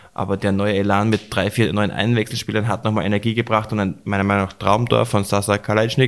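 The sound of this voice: A man talks at a fast pace in a fairly low voice, his pitch moving very little.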